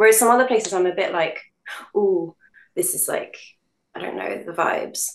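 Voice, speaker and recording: In a London accent, a woman speaks with long, frequent pauses. Her loudness swings widely. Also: moderate pace. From London, England. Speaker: voice actress. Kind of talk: casual interview chat.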